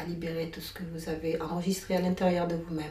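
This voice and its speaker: Over audible room echo, a woman with a fairly low pitch talks at a fairly quick pace in a monotone, flat intonation. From Comoros, raised in France (Drôme). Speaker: singer-songwriter and workshop leader. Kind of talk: interview. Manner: hesitant, many fillers.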